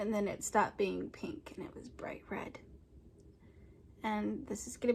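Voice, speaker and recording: A woman is speaking. She whispers. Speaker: vlogger. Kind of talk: personal testimony vlog. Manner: hesitant, many fillers.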